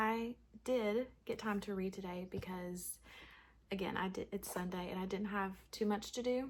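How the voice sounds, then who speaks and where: This woman's voice is medium in pitch and somewhat breathy, with fairly even intonation and a moderate pace. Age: 20s. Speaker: book vlogger. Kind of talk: casual vlog chat. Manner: casual, filler-heavy.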